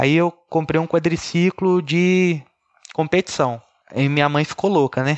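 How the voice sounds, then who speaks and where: A man speaks in an ordinary speaking voice, fairly high in pitch. His pace is fairly slow and his intonation fairly even. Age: 30s. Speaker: paraplegic kart driver. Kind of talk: interview.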